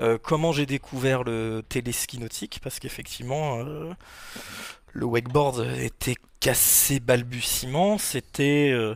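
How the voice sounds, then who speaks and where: A man talks very slowly, his medium pitch rising and falling in an ordinary way. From Normandy, France (Rouen). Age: 40s. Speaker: wakepark manager and sports federation official. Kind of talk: podcast interview, casual chat. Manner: hesitant, many fillers.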